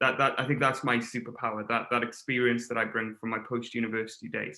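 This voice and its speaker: A man rattles along at a very fast pace in a monotone, flat intonation. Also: medium pitch for a man. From Wales. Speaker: webinar facilitator. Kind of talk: live webinar discussion. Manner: hesitant, many fillers and repetitions.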